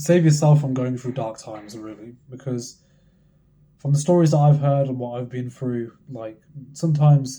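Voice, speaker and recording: A quiet, somewhat breathy man's voice, dark and mellow in tone, medium in pitch, with fairly even intonation and a moderate pace. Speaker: trading content creator. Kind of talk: motivational monologue.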